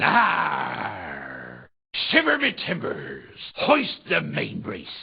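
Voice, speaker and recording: At a very slow pace, the speaker performs a put-on character voice. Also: man. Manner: exaggerated, fake.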